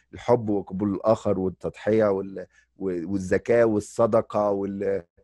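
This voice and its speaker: A man with a dark, mellow tone speaks at a fairly low pitch and with fairly even intonation. The sound is dry with no echo, over a quiet background. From Egypt. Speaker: addiction medicine physician and lecturer; podcast host. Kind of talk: interview. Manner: casual, mixes English words. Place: home room. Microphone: studio mic.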